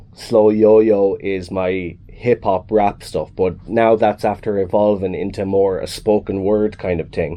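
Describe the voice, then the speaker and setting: A man's fairly low voice in a Kilkenny accent, at a fairly slow pace. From Ireland, Kilkenny. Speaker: musician. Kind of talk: radio interview.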